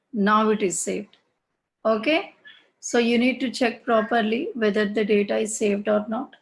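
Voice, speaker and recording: Against a quiet background, a woman with a fairly high, somewhat breathy voice speaks at a moderate pace with fairly even intonation. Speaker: SAP course instructor. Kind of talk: online class tutorial. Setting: online class with screen sharing.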